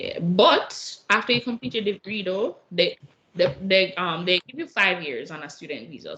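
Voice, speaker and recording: Animated in tone, a woman speaks at a moderate pace from a medium pitch, her voice making very wide pitch swings. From Jamaica. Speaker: international university student. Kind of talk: casual interview.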